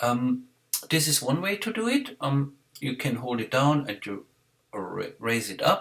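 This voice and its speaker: With a non-native accent, a man speaks at a fairly slow pace, fairly high in pitch, with lively intonation. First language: not English. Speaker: software tutorial maker. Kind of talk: screen-recorded tutorial. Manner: halting, many fillers.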